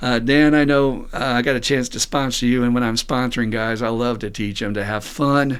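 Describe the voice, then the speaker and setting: An unremarkable speaking voice is heard here. Its pace is moderate. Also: man. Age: 60s. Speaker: podcast host and recovery sponsor. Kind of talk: casual chat. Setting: studio.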